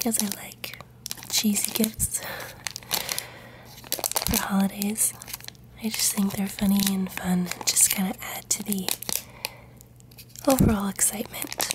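A woman speaks at a fairly slow pace. Noticeable background noise is present. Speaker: ASMR creator. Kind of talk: ASMR show-and-tell. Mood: warm, amused. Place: home room.

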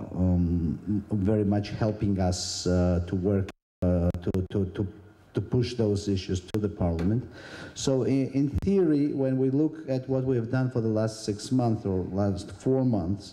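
Against a quiet background, a man with a fairly low pitch and a dark, mellow tone speaks fairly slowly, with ordinary pitch variation and very even loudness. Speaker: government minister. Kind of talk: conference speech. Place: hall. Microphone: handheld.

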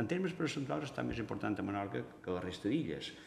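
A man is speaking. Audible room echo surrounds his voice. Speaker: university geography researcher. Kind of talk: press conference presentation. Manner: halting, many fillers. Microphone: podium.

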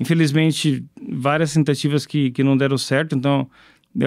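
Over a quiet background, a man talks at a moderate pace with fairly even intonation. His pitch is fairly high, his tone is dark and mellow, and the sound is dry with no echo. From São Paulo, Brazil (Zona Leste); São Paulo, Brazil. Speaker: startup co-founder; guest. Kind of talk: interview. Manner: halting, repeated words. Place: studio. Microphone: studio mic.

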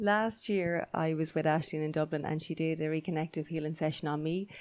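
A woman with an Irish accent and a very deep, low pitch speaks at a moderate pace over a quiet background. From Ireland. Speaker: podcast host; podcast co-host. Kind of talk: interview. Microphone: handheld.

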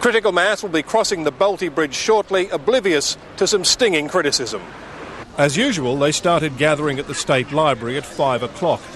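With an Australian accent, a man speaks at a fairly quick pace and fairly high pitch with lively intonation, the sound dry with no echo and light background noise behind him. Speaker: TV news reporter. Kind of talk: news reporting, live TV report. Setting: outdoors, on location live cross. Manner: formal, brisk, authoritative; clipped broadcast delivery with wry, sarcastic edge. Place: waterside.

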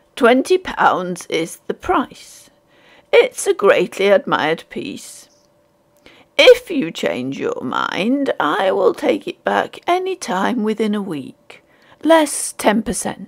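A woman uses a put-on character voice, high-pitched and hoarse, at a very slow pace. Her loudness swings widely. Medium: read story. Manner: indifferent, impassive, weary.

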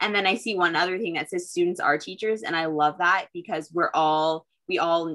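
In an American accent, a woman speaks with a fairly low pitch, a bright, sharp tone and fairly even intonation against a quiet background. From US Pacific Northwest. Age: young. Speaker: student and co-moderator; co-moderator. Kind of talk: moderated panel discussion. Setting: video call. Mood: warm, appreciative. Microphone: video call.

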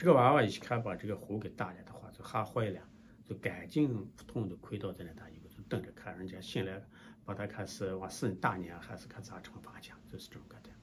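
A man's somewhat breathy, fairly low voice at a fairly quick pace, with big swings in loudness, ordinary pitch variation and noticeable background noise. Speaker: storyteller. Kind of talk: folk tale storytelling to camera. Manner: casual, hesitant with fillers. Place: office. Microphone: phone near.

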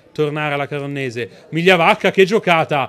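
Light background noise behind a man's moderately paced speech. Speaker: football match commentator. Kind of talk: live sports commentary. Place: stadium.

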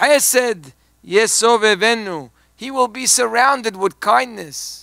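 A man uses a raised, projected voice with a bright, sharp tone and ordinary pitch variation. The sound is dry with no echo, against a quiet background. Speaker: rabbi giving a talk. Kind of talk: sermon. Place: church. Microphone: podium.

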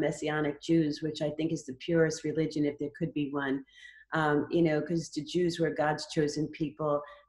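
At a moderate pace, a woman speaks in a normal speaking voice with fairly low pitch. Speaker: Bible study participant. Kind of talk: group discussion. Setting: video call.

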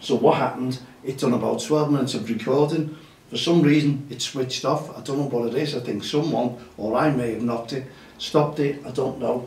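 Over audible room echo, a man talks at a fairly quick pace with fairly even intonation. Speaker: grassroots football show host. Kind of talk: casual show chat. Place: studio.

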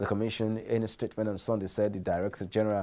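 A man's fairly low voice with a Nigerian accent and a dark, mellow tone. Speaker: business news presenter. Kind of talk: newsreading, scripted business bulletin. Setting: studio. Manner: formal, even, brisk newsreader delivery.

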